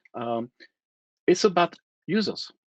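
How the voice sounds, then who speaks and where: Against a quiet background, a man with a non-native accent speaks with very wide pitch swings. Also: dry, close sound with no echo. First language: not English. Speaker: internet technology expert, panelist. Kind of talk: panel discussion.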